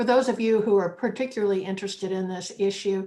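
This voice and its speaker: A woman speaks with an American accent. Her pitch is medium. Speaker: panel moderator. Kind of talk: panel discussion.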